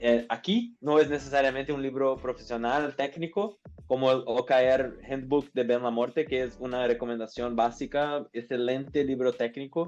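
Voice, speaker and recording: A man with a Portuguese accent at a moderate pace, hardly any pauses, and music in the background. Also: medium pitch for a man, fairly even intonation. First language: Portuguese (speaking Spanish). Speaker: business administrator and OKR consultant. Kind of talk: podcast interview. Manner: halting with fillers.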